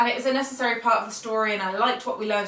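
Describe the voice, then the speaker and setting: Fairly even intonation carries a British accent. Noticeable background noise and audible room echo surround the voice. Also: woman. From Belgium. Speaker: book vlogger. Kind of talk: casual chat. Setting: at home with pet rabbits. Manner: casual, with fillers.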